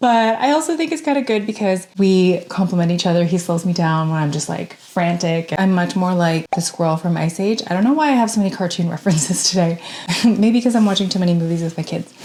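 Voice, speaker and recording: The speech moves at a very fast pace with lively intonation. Noticeable background noise is present. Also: woman, medium pitch for a woman. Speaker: sewing content creator. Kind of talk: casual vlog narration. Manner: casual.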